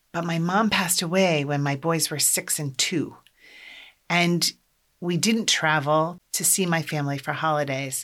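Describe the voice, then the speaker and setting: This woman has an American accent and a fairly low pitch. She talks at a fairly slow pace with fairly even intonation, in a very clean recording with a silent background. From US Midwest, Iowa. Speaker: podcast host, life coach for moms. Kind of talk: solo podcast monologue.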